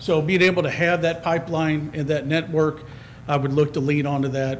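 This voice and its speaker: A man's fairly even-toned speech with audible room echo and noticeable background noise. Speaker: resident applying for committee. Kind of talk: public comment at council meeting. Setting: town council meeting. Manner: loud.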